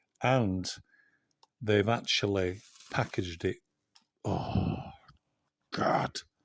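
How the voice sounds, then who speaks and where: A fairly low-pitched man with a Yorkshire accent, very slow in pace, fairly even in intonation, with long, frequent pauses. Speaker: coin collector YouTuber. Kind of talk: unboxing video. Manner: whispering at times.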